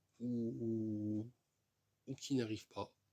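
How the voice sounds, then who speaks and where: A man's medium-pitched, dark, mellow voice. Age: 30s. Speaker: vlogger. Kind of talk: casual vlog monologue. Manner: repetitive, hesitant with fillers.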